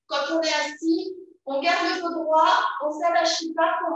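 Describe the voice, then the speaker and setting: Strong room echo surrounds a woman with an extremely high pitch. She talks at a fairly slow pace with fairly even intonation. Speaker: fitness instructor. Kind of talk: exercise class instruction. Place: empty room. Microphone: camera far.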